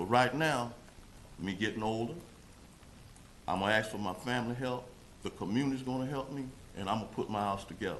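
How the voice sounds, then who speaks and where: Amid audible room echo, a man talks at a very fast pace with a medium pitch and ordinary pitch variation. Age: 60s. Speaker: resident speaking at public comment. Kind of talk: public comment at council meeting.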